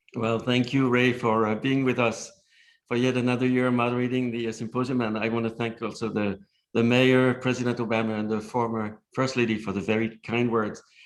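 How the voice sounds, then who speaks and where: Speaking at a fairly quick pace and medium pitch, a man with a slight non-native accent keeps a monotone, flat intonation. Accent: slight foreign. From outside the US. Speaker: nonprofit leader. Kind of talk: panel discussion. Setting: symposium panel.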